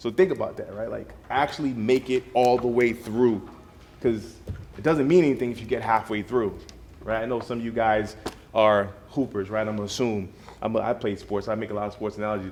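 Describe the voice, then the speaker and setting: A man with an American accent and an ordinary speaking voice, medium-pitched, at a fairly quick pace with fairly even intonation. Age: 30s. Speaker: DJ. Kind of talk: motivational talk to students. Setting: school study hall with students. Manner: casual, conversational.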